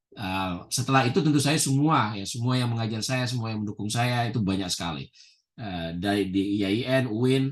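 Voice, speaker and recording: The pitch moves in an ordinary way at a fairly quick pace. It is a plain, everyday voice. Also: man. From Indonesia. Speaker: professor. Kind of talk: interview. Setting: video call.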